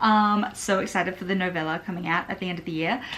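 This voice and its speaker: In an Australian accent, a woman speaks over noticeable background noise. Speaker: book vlogger. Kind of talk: casual vlog talk to camera. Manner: casual, filler-heavy.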